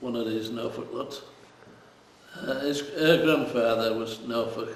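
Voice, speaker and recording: Over noticeable background noise, a man talks fairly slowly at a medium pitch with ordinary pitch variation. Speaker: fisherman. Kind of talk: interview answer.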